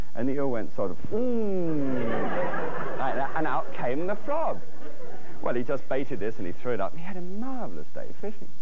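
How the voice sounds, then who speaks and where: A man at a moderate pace, with crowd noise in the background. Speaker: TV cooking show host. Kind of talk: comic storytelling to audience. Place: studio.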